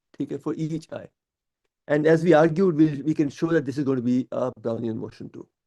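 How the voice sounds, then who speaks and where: A man speaks at a fairly quick pace, his pitch fairly high for a man and his tone dark and mellow. His loudness swings widely, and the sound is dry and close with no echo. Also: ordinary pitch variation. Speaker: professor. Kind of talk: lecture.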